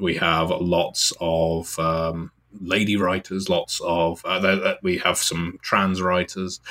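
A man's very deep, low voice with a bright, sharp tone and a British accent, very slow yet with hardly any pauses, monotone and flat in intonation, very even in loudness. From Britain. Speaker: writer and podcaster. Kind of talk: casual interview.

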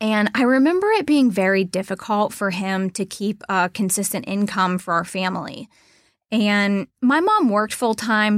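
At a fairly slow pace, a woman with a plain, everyday voice speaks at medium pitch on a very clean recording with a silent background. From Mid-Ohio Valley, Ohio/West Virginia border. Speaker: wealth advisor, podcast co-host. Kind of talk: casual conversational podcast.

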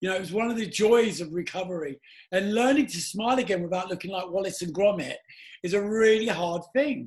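With a London accent, a man with a high pitch and ordinary pitch variation speaks at a fairly quick pace. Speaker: podcast host, former DJ. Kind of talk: casual chat.

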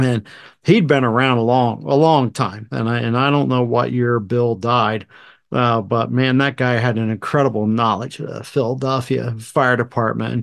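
A man speaks at a moderate pace in a normal speaking voice of medium pitch. The background is quiet. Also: fairly even intonation. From southern New Jersey. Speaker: retired fire battalion chief, podcast host. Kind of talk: casual chat.

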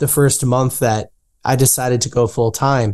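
A man's dark, mellow voice at medium pitch. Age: 20s. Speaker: entrepreneur and author. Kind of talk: interview.

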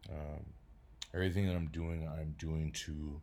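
Over audible room echo, a man with an American accent speaks in a very deep, low pitch, somewhat breathy, with fairly even intonation. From Detroit, Michigan. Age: 30s. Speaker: podcaster and comedian. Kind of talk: casual monologue.

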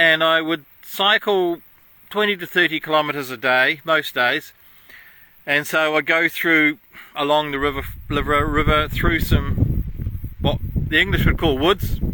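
Fairly high-pitched male voice with an Australian accent, a fairly slow pace, fairly even intonation and long, frequent pauses. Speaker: podcast host. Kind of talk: casual monologue. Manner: hesitant, with fillers.

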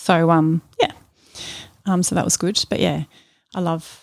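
A woman with an Australian accent at a fairly slow pace, in a very clean recording with a silent background and a dry, close sound with no echo. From Melbourne, Australia. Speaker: church member. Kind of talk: interview, personal testimony. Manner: halting.

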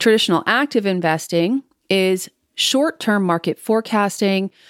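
Heard in a very clean recording with a silent background and a dry, close sound with no echo, a woman in a plain, everyday voice speaks at a moderate pace with lively intonation. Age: 40s. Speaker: financial planner and podcast host. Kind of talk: monologue podcast on investing.

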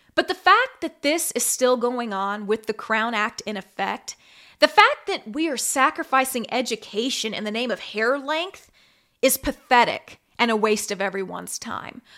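Speaking in an American accent, a woman uses a high pitch and a bright, sharp, animated tone, with lively intonation at a moderate pace. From Kansas City, Missouri and Las Vegas. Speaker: podcast host and former TV news anchor. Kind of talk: solo commentary podcast.

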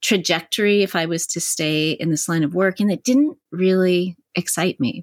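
In a normal speaking voice with a Canadian accent, the speaker goes at a moderate pace with ordinary pitch variation, in a dry, close sound with no echo and a very clean recording with a silent background. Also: woman. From Canada. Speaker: psychotherapist and mindfulness teacher. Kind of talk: interview.

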